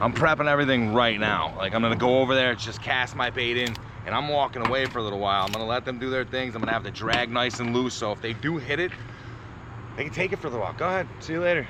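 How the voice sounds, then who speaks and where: Very fast speech from a man at medium pitch, pitch varying in an ordinary way amid noticeable background noise. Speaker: fishing vlogger. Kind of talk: casual outdoor vlog narration. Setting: outdoors by the water.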